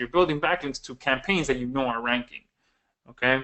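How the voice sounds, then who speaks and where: Pitched fairly high, the man's voice moves at a moderate speed and varies in pitch as speech usually does. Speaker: software developer presenting his product. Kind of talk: live webinar Q&A. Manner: loud; hesitant, many fillers.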